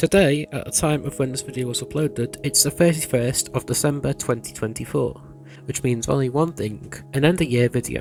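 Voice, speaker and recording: A soft-spoken man talks at medium pitch with ordinary pitch variation and a fairly quick pace. Music plays in the background. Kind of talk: casual voiceover for hobby video.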